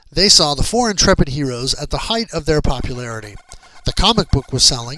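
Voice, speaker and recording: Over noticeable background noise, a man talks at a fairly quick pace. His intonation is lively. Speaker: game reviewer and video host. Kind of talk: dramatic review reading to camera, reading aloud with punch and personality. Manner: animated, expressive, punchy.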